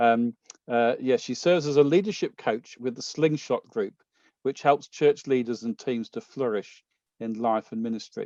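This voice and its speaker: A man with a British accent speaks at a moderate pace in a medium pitch with ordinary pitch variation and a dark, mellow tone, recorded with a dry, close sound with no echo against a quiet background. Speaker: conference organizer. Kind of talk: speaker introduction. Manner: halting, many fillers.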